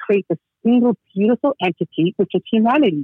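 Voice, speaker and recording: A woman speaks in a plain, everyday voice. Her intonation is lively. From Toronto, Canada (immigrated from Georgia at four). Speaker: children's author and energy healer. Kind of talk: interview. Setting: phone call.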